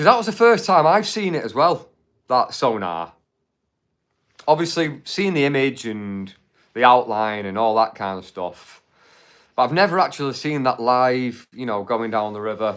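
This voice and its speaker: With a Mancunian accent, a man at a medium pitch talks at a moderate pace, his pitch swinging very widely. He leaves long, frequent pauses on a very clean recording with a silent background. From Manchester, England. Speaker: YouTube livestream host. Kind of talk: live stream chat. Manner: casual, chatty with fillers.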